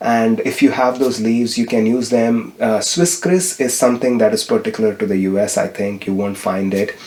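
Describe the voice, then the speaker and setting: A fairly quick voice with a Tamil accent, over noticeable background noise. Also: man. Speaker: spiritual vlogger. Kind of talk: vlog-style tutorial. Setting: home kitchen.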